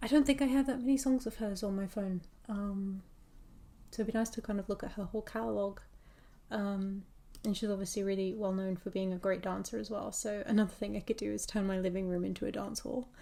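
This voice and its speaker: Soft-spoken with a dark, mellow tone, a woman talks at a fairly quick pace with fairly even intonation and long, frequent pauses. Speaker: hobby content creator. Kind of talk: casual rambling chat while drawing. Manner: hesitant, many fillers.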